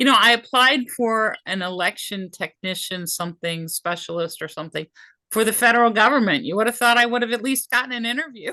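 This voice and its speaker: At a fairly quick pace, a woman speaks with a fairly high pitch and a bright, sharp tone, recorded dry and close with no echo. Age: 60s. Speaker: job seeker. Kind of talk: casual chat.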